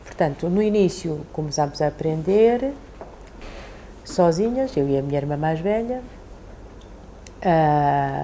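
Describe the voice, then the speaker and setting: A woman speaks very slowly with a very deep, low pitch, lively intonation, a dark, mellow tone, long, frequent pauses, and audible room echo. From China, raised in Portugal from age 8. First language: Chinese (speaking Portuguese). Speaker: immigrant interviewee. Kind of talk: interview testimony.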